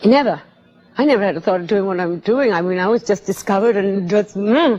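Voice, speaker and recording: Very fast speech from a woman, with background noise clearly audible. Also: medium pitch for a woman, ordinary pitch variation. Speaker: singer. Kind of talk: interview answer.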